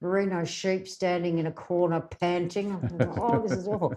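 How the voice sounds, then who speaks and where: This woman has an Australian accent and a dark, mellow tone. Her pitch is fairly low, with ordinary variation. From South Australia, Adelaide Hills. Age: 60s. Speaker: rural radio journalist. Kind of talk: casual interview chat.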